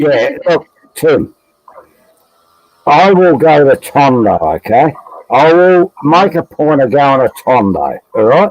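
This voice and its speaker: Recorded dry and close with no echo, a man with a fairly high voice talks at a very slow pace, with long, frequent pauses, lively intonation and very even loudness. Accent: Australian. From Australia. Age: 60s. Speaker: expat livestream panelist. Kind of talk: casual chat.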